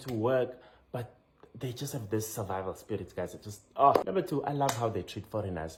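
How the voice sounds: With a South African accent, a man speaks at a moderate pace with lively intonation over noticeable background noise.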